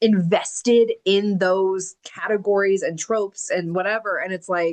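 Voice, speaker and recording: A normal speaking voice moves at a fairly slow pace with fairly even intonation. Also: woman. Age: 30s. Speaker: book club host and author. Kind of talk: interview. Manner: casual, filler-heavy.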